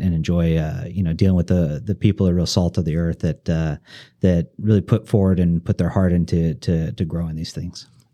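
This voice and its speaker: A man's very deep, low voice, dark and mellow in tone, with fairly even intonation at a moderate pace on a very clean recording with a silent background. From central US. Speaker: forestry company chief executive. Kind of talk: interview. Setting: studio.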